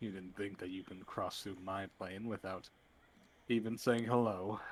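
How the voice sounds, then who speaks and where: A man does a put-on character voice at a moderate pace, pitched fairly low. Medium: actual play. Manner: dry, disapproving.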